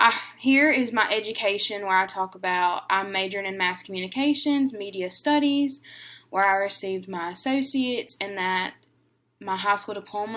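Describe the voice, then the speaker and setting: Someone with a Southern US accent speaks at a moderate pace with ordinary pitch variation. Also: woman. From northern Louisiana. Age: 20s. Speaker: university student. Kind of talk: class presentation.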